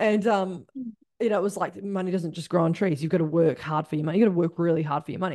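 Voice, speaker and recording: An animated woman with a New Zealand accent, fairly low in pitch, talking at a very fast pace with ordinary pitch variation. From New Zealand, Christchurch. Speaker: spiritual business coach. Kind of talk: casual interview chat.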